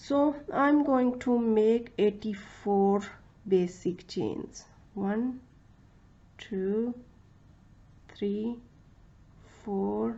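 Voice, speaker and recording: The speech comes at a very slow pace with long, frequent pauses and ordinary pitch variation. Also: woman, fairly high pitch for a woman. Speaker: crochet tutorial creator. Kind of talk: tutorial. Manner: halting, many fillers.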